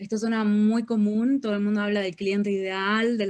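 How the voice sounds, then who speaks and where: A woman with a Uruguayan accent speaks in a medium-pitched voice at a moderate pace. The background is quiet. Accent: Uruguayan accent retained. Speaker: real estate marketing mentor. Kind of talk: interview.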